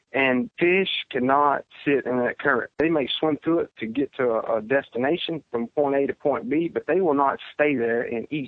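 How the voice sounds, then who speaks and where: A man with a Louisiana accent speaks at a fairly high pitch and a moderate pace. His pitch varies in an ordinary way. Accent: Southern US (Louisiana). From Central Louisiana, US South. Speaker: professional bass angler. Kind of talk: interview, casual chat.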